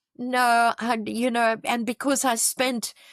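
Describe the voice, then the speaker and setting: A woman with a strong South African accent, dry and close with no echo, in a very clean recording over a silent background. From South Africa, KwaZulu-Natal (Pietermaritzburg). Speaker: charity founder. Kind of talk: podcast interview.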